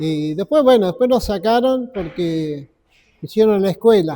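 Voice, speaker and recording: At a very slow pace, a man speaks in a high pitch with ordinary pitch variation. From Argentina, Buenos Aires west suburbs. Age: 70s. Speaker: veteran rock musician. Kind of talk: interview. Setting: community club. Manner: halting.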